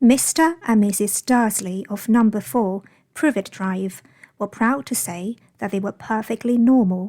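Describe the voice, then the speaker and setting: On a very clean recording with a silent background, a woman speaks at a fairly slow pace with a fairly high pitch, ordinary pitch variation, a somewhat breathy voice and a dark, mellow tone. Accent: British. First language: Chinese. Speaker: English teacher. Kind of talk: audiobook-style novel reading.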